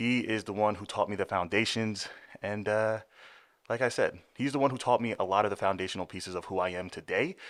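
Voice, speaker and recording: A man's fairly low voice, fairly quick and fairly even in intonation, on a very clean recording with a silent background. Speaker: fitness podcast host, bodybuilder. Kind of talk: casual podcast chat. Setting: podcast studio.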